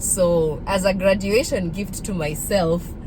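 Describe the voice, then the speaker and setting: Her pitch fairly low, a woman speaks through noticeable background noise and audible room echo. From Kenya, partly raised in Nairobi. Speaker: vlogger. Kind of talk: casual vlog monologue.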